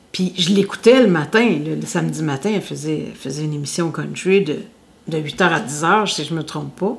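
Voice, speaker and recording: A woman with a very deep, low pitch and vocal fry speaks at a moderate pace with ordinary pitch variation. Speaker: singer and radio host. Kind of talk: interview. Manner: loud.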